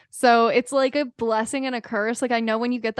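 A woman with an unremarkable speaking voice talks at a moderate pace and a fairly high pitch. The background is quiet. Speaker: podcast host. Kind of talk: casual interview chat.

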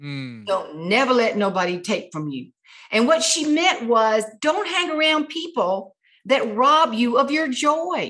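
A woman speaks in a bright, sharp tone at a high pitch. Her pitch swings very widely as she goes at a fairly slow pace. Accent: South Carolina. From US South, South Carolina tomato farm. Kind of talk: interview.

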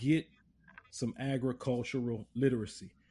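A man with a Louisiana accent speaks at a medium pitch. His tone is dark and mellow, and somewhat breathy. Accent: southern US, Louisiana. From Lafayette, Louisiana. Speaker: podcast host. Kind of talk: interview.

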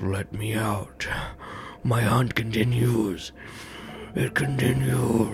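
A man puts on a character voice at medium pitch, talking at a very slow pace over clear background noise. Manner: menacing.

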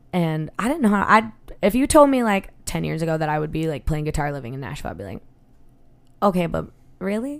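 A woman speaks at a very fast pace with a fairly low pitch and very wide pitch swings, broken by long, frequent pauses. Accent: Western New York. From Buffalo, New York. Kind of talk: casual chat.

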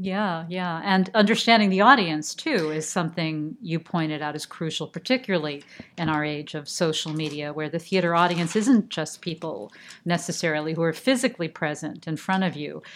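Speaking at a fairly quick pace, a woman has an unremarkable speaking voice, fairly low in pitch with ordinary variation. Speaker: podcast host. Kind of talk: interview.

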